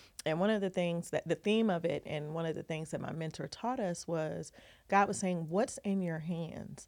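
On a very clean recording with a silent background, a woman with an unremarkable speaking voice and an American accent speaks at a fairly low pitch, a moderate pace and ordinary pitch variation. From Ohio and Southern California. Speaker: TV film producer and branding coach. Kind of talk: casual interview. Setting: studio, sitting next to host.

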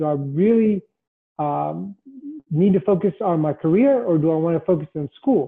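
Here a man speaks with a Mid-Atlantic American accent. His pitch is high and his pace moderate. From Washington DC area (northern Virginia). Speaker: government IT executive. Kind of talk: interview.

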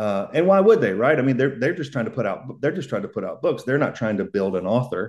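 A man with a Southern US accent at a medium pitch, very wide pitch swings, a very fast pace and hardly any pauses. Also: quiet background. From US South. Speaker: author. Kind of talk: casual interview.

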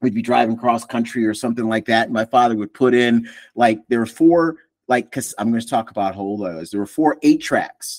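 Over a very clean recording with a silent background, a man talks at a fairly quick pace. He has a normal speaking voice at a medium pitch with ordinary pitch variation. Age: 50s. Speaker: podcast host. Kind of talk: casual chat.

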